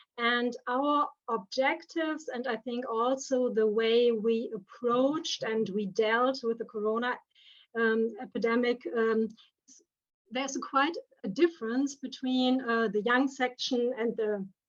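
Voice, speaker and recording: At a high pitch with ordinary variation, a woman with a German accent talks at a fairly slow pace. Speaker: theatre director. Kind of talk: presentation. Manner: halting.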